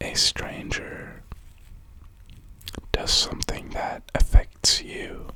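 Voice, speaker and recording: Someone is whispering at a very slow pace with long, frequent pauses while noticeable background noise carries on. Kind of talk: ASMR talk. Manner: whispered.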